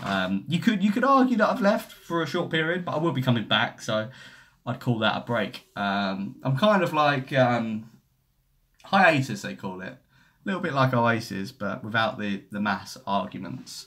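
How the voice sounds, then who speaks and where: In a Cockney accent, a man at medium pitch talks at a moderate pace with very wide pitch swings, on a very clean recording with a silent background. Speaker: football YouTuber. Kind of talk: live stream chat reading comments. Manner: casual, rambling.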